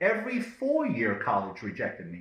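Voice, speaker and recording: The man's voice carries vocal fry and very wide pitch swings. He talks at a moderate pace. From Israel, then South Africa and Belgium as a teen. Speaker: self-development video host. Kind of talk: scripted monologue.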